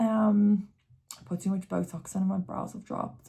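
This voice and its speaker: A woman of medium pitch speaks at a moderate pace with ordinary pitch variation and a dark, mellow, somewhat breathy tone, on a very clean recording with a silent background. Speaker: tarot reader. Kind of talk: tarot reading. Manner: casual, filler-heavy.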